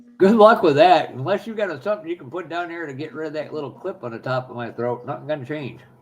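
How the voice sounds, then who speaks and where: Rushing at a very fast pace with hardly any pauses, a man with a fairly high pitch uses lively intonation and big swings in loudness over noticeable background noise. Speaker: live stream co-host. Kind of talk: casual chat. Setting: live stream.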